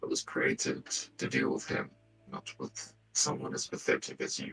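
A man uses a put-on character voice. It sounds raspy. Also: moderate pace. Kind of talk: horror villain acting. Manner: cold, menacing, cryptic.

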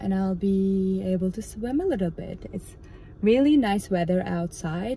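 At a fairly slow pace, a woman speaks in a dry sound with no echo over light background noise. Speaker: travel vlogger. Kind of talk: casual vlog chat. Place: car. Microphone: phone near.

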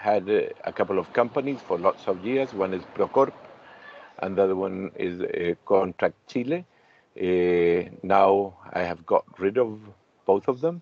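A plain, everyday voice at a fairly slow pace, with ordinary pitch variation and a dry sound with no echo. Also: man, fairly low pitch for a man. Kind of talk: casual self-introduction on a video call. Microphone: video call.

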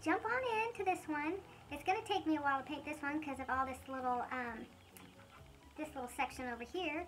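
This woman talks fairly quickly in a high pitch, her intonation lively. She takes long, frequent pauses over light background noise. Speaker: furniture painting DIYer. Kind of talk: casual DIY tutorial talk. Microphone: phone near.

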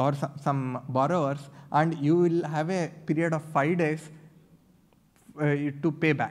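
In a monotone, flat voice, a man speaks against a quiet background. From Karnataka, India. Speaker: assistant professor presenting at a conference; conference presenter. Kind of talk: conference talk. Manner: halting, frequent repetitions and fillers. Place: hall. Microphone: podium.

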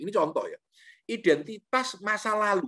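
Against a quiet background, a man speaks fairly slowly with lively intonation. His tone is bright and sharp. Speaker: lecturer, motivational speaker. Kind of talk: online lecture with Q&A. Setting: video call from home. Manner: relaxed, conversational. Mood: relaxed, jovial. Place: home room. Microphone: video call.

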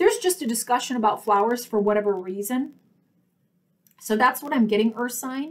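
A loud, high-pitched woman's voice at a fairly quick pace, broken by long, frequent pauses. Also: ordinary pitch variation. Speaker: tarot reader. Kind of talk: solo video tarot reading. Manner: loud talker; enunciates clearly. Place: home room. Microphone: webcam.

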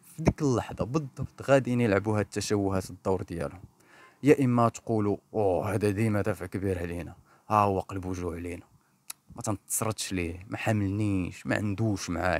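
Recorded very cleanly with a silent background and a dry, close sound with no echo, a man with a Moroccan accent speaks at a fairly low pitch with ordinary pitch variation. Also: moderate pace. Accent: Moroccan Darija. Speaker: clinical psychologist and therapist. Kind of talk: educational podcast monologue.

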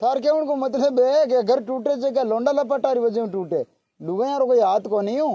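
The speech moves at a fairly slow pace, and the sound is dry with no echo. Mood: scolding, argumentative. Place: farm.

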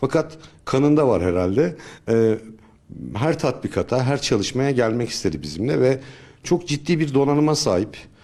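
Lively intonation marks this man's medium-pitched voice, which has a dark, mellow tone and very even loudness. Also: moderate pace. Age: 50s. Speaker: search and rescue volunteer leader. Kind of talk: interview testimony. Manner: hesitant, with filler sounds.

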